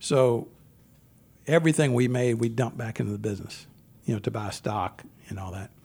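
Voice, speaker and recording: A man speaks at a fairly quick pace with a somewhat breathy, medium-pitched voice. His pauses are long and frequent, his loudness swings widely, and his pitch varies in an ordinary way. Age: 60s. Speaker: car dealership owner. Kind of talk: interview.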